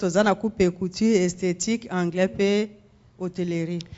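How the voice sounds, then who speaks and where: The delivery is fairly quick, with fairly even intonation. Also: woman. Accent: Congolese. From Congo. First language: Lingala. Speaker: women's ministry leader. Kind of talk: testimony. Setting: church.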